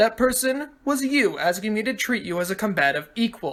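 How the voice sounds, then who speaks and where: The speaker uses a put-on character voice pitched fairly high. The delivery moves at a moderate pace. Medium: read story. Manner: smug, precise.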